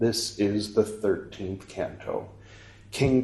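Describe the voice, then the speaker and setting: A fairly low-pitched, somewhat breathy male voice. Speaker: audiobook reader and podcast host. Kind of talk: dramatic narration of scripture, reading aloud. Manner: solemn, measured, ceremonial; casual and conversational in intro.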